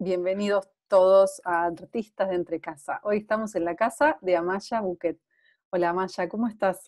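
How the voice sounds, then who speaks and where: A woman talks at a moderate speed, her intonation fairly even, over a quiet background. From Argentina. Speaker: interviewer, web series host. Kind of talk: casual interview. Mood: warm, friendly. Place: home room. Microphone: earbuds.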